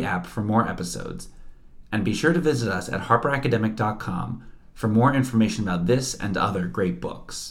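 A man talks at a fairly quick clip, his intonation lively and his voice somewhat breathy. Room echo is audible. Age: 20s. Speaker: podcast host. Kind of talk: scripted narration; interview.

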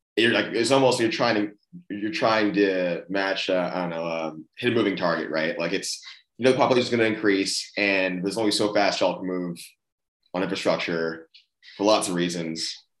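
With an ordinary speaking voice, a man talks at a fairly quick pace, fairly low in pitch and with ordinary pitch variation. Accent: American. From Austin, Texas. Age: 30s. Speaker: podcast host and CEO. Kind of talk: casual interview.

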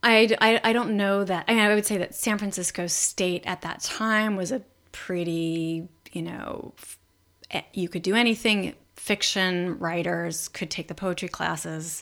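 With an American accent and an ordinary speaking voice, a woman speaks at a fairly slow pace and medium pitch, her loudness swinging widely. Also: ordinary pitch variation. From Los Angeles. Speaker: writer and performer. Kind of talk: casual interview.

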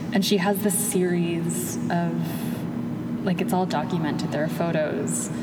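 Through audible room echo and noticeable background noise, a woman speaks at a fairly slow pace. Her loudness stays very even and she hardly pauses. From Miami. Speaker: poet. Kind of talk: casual chat. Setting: museum.

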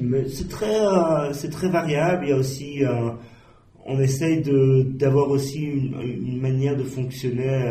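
Audible room echo and noticeable background noise surround a man speaking very slowly at a medium pitch with ordinary pitch variation. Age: 40s. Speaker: online magazine editor-in-chief. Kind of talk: interview. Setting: office. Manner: hesitant, many fillers.

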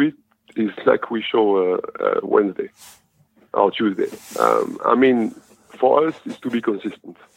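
There is a French accent in this man's speech. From France. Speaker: professional basketball player. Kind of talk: interview.

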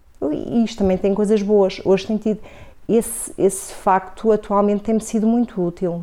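Her medium-pitched, plain, everyday voice carries fairly even intonation as the woman speaks. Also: moderate pace. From Portugal, grew up in Coimbra (born Vila Real). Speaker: marketing professor and city councillor. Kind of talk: radio interview.

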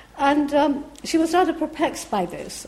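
A woman talks at a fairly slow pace. Audible room echo and noticeable background noise are present. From Iran. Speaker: professor. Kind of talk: lecture.

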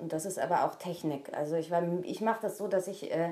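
Speaking very fast, a woman uses a dark, mellow tone with ordinary pitch variation. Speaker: voice actress and radio station voice. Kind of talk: casual chat.

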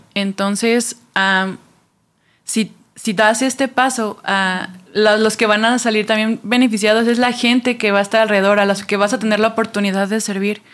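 In a very clean recording with a silent background, a woman speaks at a fairly high pitch and a moderate pace. Her intonation is flat and monotone, and her loudness stays very even. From Mexico City. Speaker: church ministry worker. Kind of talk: casual chat.

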